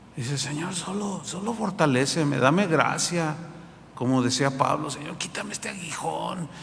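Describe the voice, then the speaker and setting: This man talks at a moderate pace in a fairly high voice with ordinary pitch variation, over noticeable background noise and audible room echo. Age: 60s. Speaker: pastor. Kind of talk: sermon.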